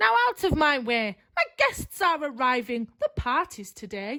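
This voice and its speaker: Putting on a character voice, a woman speaks high and shrill at a moderate pace. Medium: read story. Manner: snappish, commanding.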